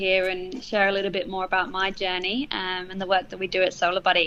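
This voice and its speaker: A woman talks at a fairly quick pace with a British accent. Her tone is bright and sharp. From England. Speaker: charity manager and former teacher. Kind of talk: interview conversation. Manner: frequent hesitations with um.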